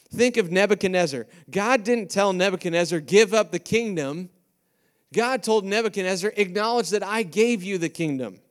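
On a very clean recording with a silent background, a man with an American accent talks in an animated tone at a moderate pace, high-pitched with ordinary pitch variation. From US Midwest (Iowa). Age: 40s. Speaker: pastor. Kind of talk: sermon. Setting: stage with audience.

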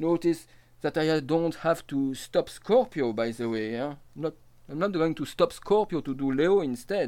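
A dark, mellow tone in a French accent, with lively intonation at a moderate pace. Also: man. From France, Nancy area. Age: 50s. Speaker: astrologer and storyteller. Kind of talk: autobiographical monologue.

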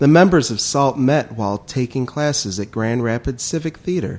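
This man has an unremarkable speaking voice at a medium pitch. His pace is moderate and his intonation lively. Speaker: podcast co-host. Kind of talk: casual chat.

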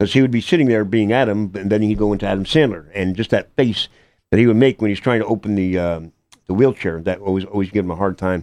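Over a quiet background, a man talks at a very fast pace. His pitch is fairly low, with ordinary variation. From Connecticut, Hamden. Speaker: actor, amputee. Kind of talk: interview. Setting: radio studio.

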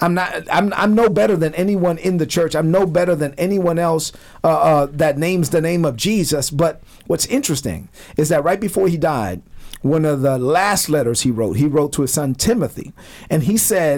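Speaking with a New York accent, a man with a fairly high voice talks at a moderate pace, his loudness very even and his pitch variation ordinary. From Brooklyn, New York. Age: 40s. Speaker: retired army officer and ministry founder. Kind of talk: radio interview.

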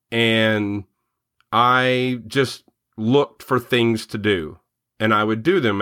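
A man's bright, sharp voice at medium pitch in a very clean recording with a silent background. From western Kentucky (Murray). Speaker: entrepreneur and investor. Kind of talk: interview.

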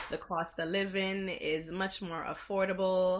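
At a fairly slow pace, a woman talks with a medium-pitched voice. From the Bronx, New York, Jamaican household. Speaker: education professional. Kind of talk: casual interview. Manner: energetic.

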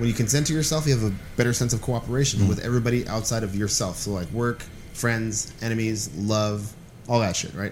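With audible room echo, a man with an American accent talks at a very fast pace in a medium pitch with ordinary pitch variation. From Los Angeles (Boyle Heights, East LA). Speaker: stand-up comedian and self-described psychic. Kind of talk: casual chat.

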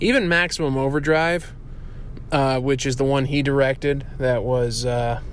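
This man's medium-pitched voice carries audible room echo. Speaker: friend of the show, sent-in segment. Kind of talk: recorded monologue. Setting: parking garage. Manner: low energy.

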